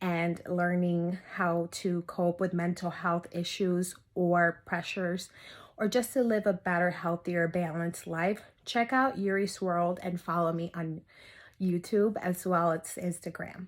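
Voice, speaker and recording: On a very clean recording with a silent background, a woman speaks fairly slowly at a fairly low pitch, with fairly even intonation, in a plain, everyday voice. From US, raised by Dominican family (moved at two). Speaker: mental health therapist. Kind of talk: interview testimony.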